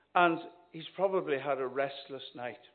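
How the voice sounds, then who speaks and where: In a room with audible echo, a man with a Northern Irish accent speaks at a fairly slow pace with ordinary pitch variation. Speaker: visiting minister preaching. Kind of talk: sermon. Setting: church. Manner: animated.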